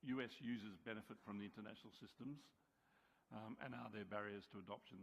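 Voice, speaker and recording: Using an Australian accent, a man speaks at a very fast pace. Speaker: subcommittee chair on an advisory board. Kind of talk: committee report presentation. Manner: hesitant, many fillers.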